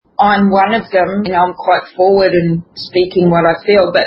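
With a normal speaking voice at medium pitch, a woman speaks at a fairly slow pace and with fairly even intonation. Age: 60s. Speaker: natural perfumer. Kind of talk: interview.

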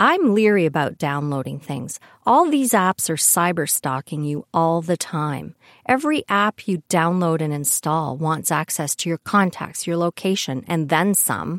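This woman has an ordinary speaking voice, fairly low in pitch, with lively intonation and a fairly slow pace, recorded dry and close with no echo over a silent, very clean background. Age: 60s. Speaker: podcast host, retired IT programmer. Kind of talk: monologue.

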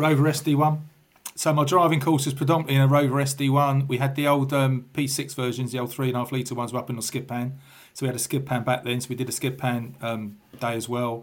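A man with a London accent speaks at a fairly quick pace. His pitch is medium and his intonation fairly even. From England, southwest London. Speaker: retired police officer. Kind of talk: casual interview.

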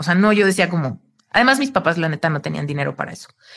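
A woman talks with ordinary pitch variation. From Mexico. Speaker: spiritual coach. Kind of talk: casual interview chat. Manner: animated.

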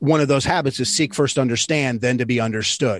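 Recorded dry and close with no echo against a quiet background, a man with an American accent speaks in an unremarkable speaking voice at a medium pitch with ordinary pitch variation. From Michigan. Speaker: leadership consultant and former basketball coach. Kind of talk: interview.

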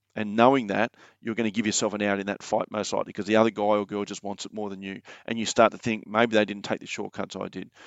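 Speaking at a very fast pace, a man with an Australian accent uses a fairly low pitch. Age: 40s. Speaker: mindset coach and former soldier. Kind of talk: casual interview chat.

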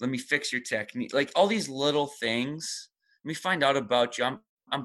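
Against a quiet background, a man with a plain, everyday voice talks at a fairly quick pace in a medium pitch with lively intonation. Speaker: CrossFit gym head coach and co-owner. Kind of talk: casual interview conversation.

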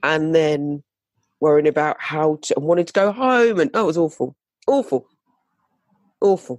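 A woman with a British accent speaks at a moderate pace in a very deep, low voice, her intonation lively. The sound is dry and close with no echo, and her pauses are long and frequent. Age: 50s. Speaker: fashion designer and speaker. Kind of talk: interview about personal story. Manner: halting, with many fillers.

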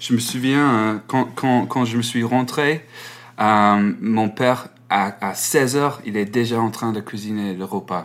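Delivery is very slow. The pitch stays fairly level throughout. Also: man, medium pitch for a man. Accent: English. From England, Malvern. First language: English (speaking French). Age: 20s. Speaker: music journalist. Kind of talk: interview. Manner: halting.

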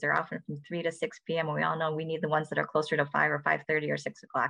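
A very fast American accent with vocal fry against a quiet background. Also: woman. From Michigan, Ann Arbor. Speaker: physician and professor. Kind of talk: interview.

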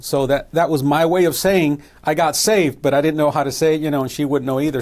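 A man with a normal speaking voice talks in an American accent, pitched fairly high with fairly even intonation. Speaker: missionary and evangelist. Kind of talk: testimony.

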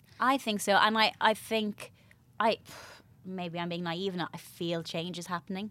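This woman speaks with an Irish accent at a moderate pace, her fairly low voice keeping a fairly even intonation. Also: very clean recording, silent background. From Ireland, Bray, County Wicklow. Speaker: media personality and goodwill ambassador. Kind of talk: casual chat.

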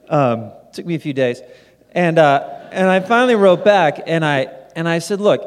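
Lively intonation and a moderate speed from a man with a high voice. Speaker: minimalism author and nonprofit founder. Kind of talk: live podcast conversation answering audience questions. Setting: stage with audience.

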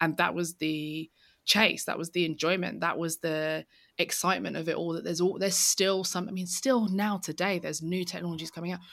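Speaking with a London accent, a woman keeps a fairly quick pace and fairly even intonation in a fairly low voice. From East London. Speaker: tech author. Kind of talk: interview.

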